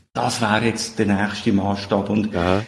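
Somewhat breathy, a man speaks with a Swiss accent. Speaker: software company founder. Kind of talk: interview. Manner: halting.

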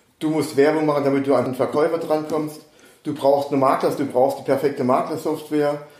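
A man with a fairly high voice speaks at a fairly quick pace in a flat monotone, with audible echo from the room. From Saarland, Germany. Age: 60s. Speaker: real estate agent. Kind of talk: casual interview. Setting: in person on Mallorca.

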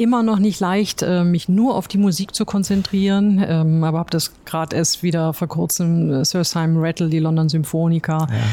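Over noticeable background noise, a woman with a fairly low pitch speaks at very even loudness and fairly even intonation, with hardly any pauses. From Ruhr area, Germany. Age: 50s. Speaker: logistics company chief executive. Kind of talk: interview. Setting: company office.

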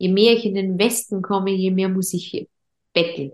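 A woman of medium pitch with a Vorarlberg accent. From Austria, Vorarlberg. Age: 30s. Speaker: entrepreneur, event agency founder. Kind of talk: podcast interview. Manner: hesitant with many fillers and repetitions.

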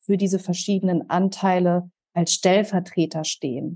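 A woman speaks at medium pitch. Hers is a plain, everyday voice. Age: 30s. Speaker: systemic counsellor and trauma-sensitive coach. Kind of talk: podcast interview.

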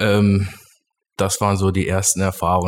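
At a moderate pace, a man with a fairly low pitch uses an ordinary speaking voice. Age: 30s. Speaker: company managing director. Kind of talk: interview. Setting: studio.

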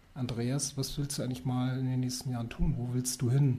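At a moderate pace, a man speaks in a medium pitch with a dark, mellow, somewhat breathy tone and fairly even intonation. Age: 40s. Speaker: wine bar founder, former insurance employee. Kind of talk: interview.

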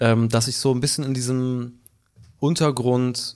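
A man speaks at a medium pitch in an unremarkable speaking voice. His pace is moderate and his intonation fairly even. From Hamburg. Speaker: singer-songwriter and producer. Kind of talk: casual chat.

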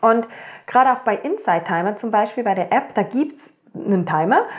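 A woman speaks at a moderate pace with a fairly high pitch. The background is quiet. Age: 30s. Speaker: podcast host, mindset coach. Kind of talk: solo podcast monologue.

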